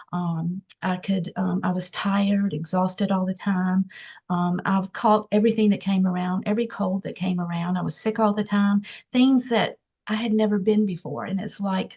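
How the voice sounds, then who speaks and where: Against a quiet background, a woman with a medium-pitched, dark and mellow voice speaks at a moderate pace, somewhat breathy and with fairly even intonation. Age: 60s. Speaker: nurse practitioner. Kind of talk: testimony. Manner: hesitant with many fillers.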